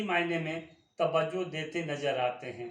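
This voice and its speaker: Audible room echo hangs around the voice of a male speaker. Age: 60s. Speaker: writer reading his own essays. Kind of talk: reading aloud. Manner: formal.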